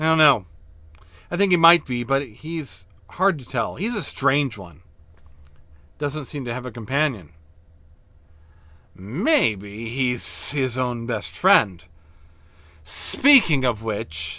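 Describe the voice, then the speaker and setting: A man does a put-on character voice at medium pitch, with hissing. He goes at a fairly slow pace with long, frequent pauses. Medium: read story. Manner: sly, knowing.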